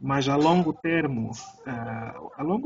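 Noticeable background noise beneath a fairly high-pitched male voice. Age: 40s. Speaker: jiu-jitsu coach and podcast host. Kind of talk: casual interview.

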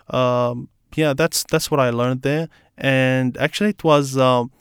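With an Arabic accent, a man speaks at a medium pitch and moderate pace with fairly even intonation, in a very clean, silent recording with a dry, close sound and no echo. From Iraq. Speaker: refugee guest. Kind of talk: interview. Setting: studio.

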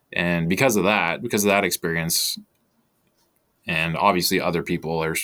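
A man with a Canadian accent talks at a very fast pace in a very deep, low pitch with fairly even intonation. His tone is bright and sharp, on a very clean recording with a silent background. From Canada. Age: 40s. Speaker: crypto investor and newsletter founder. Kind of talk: casual interview chat.

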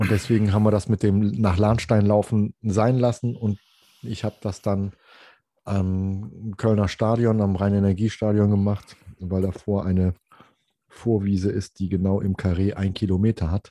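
On a very clean recording with a silent background and a dry, close sound with no echo, a man with a fairly low pitch and a dark, mellow tone speaks at a moderate pace in a monotone, flat intonation. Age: 50s. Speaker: hobby photographer, podcast co-host, triathlete. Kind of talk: casual chat.

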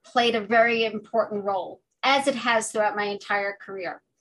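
A woman with an American accent in a normal speaking voice, at a moderate pace. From New York City, Washington Heights. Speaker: higher education leader and immigration scholar. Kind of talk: interview.

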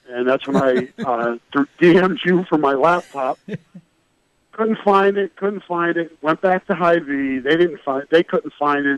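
At a moderate pace, a man with an unremarkable speaking voice talks with ordinary pitch variation and a dry, close sound with no echo. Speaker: sports reporter guest. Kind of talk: interview about college football.

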